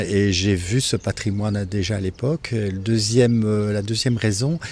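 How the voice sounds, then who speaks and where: Music plays in the background as a man speaks at a fairly slow pace. His pitch is fairly low and his intonation fairly even. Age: 60s. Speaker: architect and property owner. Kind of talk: interview. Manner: hesitant, many fillers.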